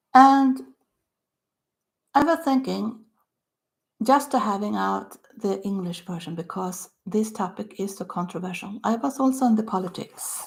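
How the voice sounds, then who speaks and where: Pausing long and often, a woman with a Swedish accent speaks in a somewhat breathy voice at a fairly slow pace with lively intonation. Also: medium pitch for a woman. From Sweden, Stockholm. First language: Swedish (earlier Yiddish). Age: 60s. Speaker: author. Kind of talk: casual talk to camera.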